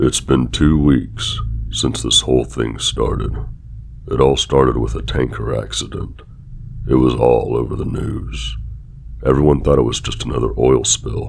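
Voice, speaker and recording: Against noticeable background noise, a man with a very deep, low pitch speaks with fairly even intonation. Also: moderate pace. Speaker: horror story narrator. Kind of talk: horror story reading.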